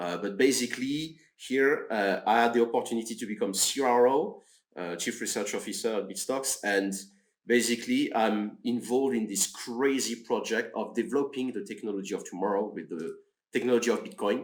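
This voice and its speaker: Speaking with a French accent, a man keeps a fairly quick pace. His pitch is medium, with ordinary pitch variation. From France. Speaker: research officer, mathematician. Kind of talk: podcast interview. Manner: halting.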